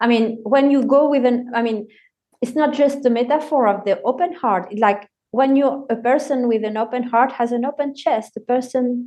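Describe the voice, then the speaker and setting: Her pitch high, a woman talks at a moderate pace in a dark, mellow tone with fairly even intonation. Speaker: collagist and poet. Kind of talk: casual chat.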